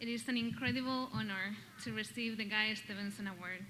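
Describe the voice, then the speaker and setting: A woman with a Basque Spanish accent speaks at a fairly high pitch. Audible room echo and noticeable background noise fill the recording. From Basque Country, Spain. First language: Spanish or Basque. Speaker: doctoral graduate, award recipient. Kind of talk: acceptance speech. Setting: stage with audience.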